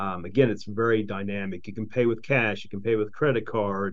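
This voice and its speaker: Fairly quick and with fairly even intonation, the speech comes in an American accent against audible room echo. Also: man. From Charleston, West Virginia. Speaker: entrepreneur, company CEO. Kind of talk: casual interview.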